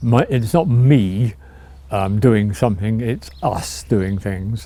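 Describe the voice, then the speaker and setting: This man's voice has a dark, mellow tone at a medium pitch and sounds somewhat breathy. His intonation is lively. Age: 80s+. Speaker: retiree sharing life story. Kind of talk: reminiscing interview. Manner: halting.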